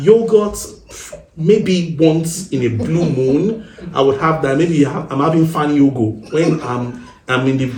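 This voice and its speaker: Lively intonation at a fairly slow pace, with audible room echo and noticeable background noise. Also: man, fairly high pitch for a man. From Nigeria. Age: 30s. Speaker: married guest sharing relationship experience. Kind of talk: podcast interview.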